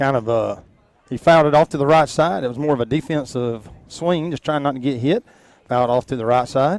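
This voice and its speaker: A man with a Georgia accent, fairly high in pitch, with ordinary pitch variation and a fairly quick pace. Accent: southern US (Georgia). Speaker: local sports play-by-play announcer. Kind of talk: live commentary. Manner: loud; animated.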